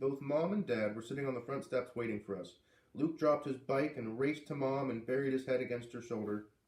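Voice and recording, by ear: With ordinary variation in pitch, the words are read aloud in a natural voice.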